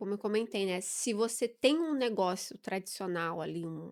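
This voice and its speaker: A very clean recording against a silent background, with pitch shifting in a typical way. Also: woman. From southern Brazil, Curitiba. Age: 40s. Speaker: business mentor and entrepreneur. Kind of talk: podcast interview.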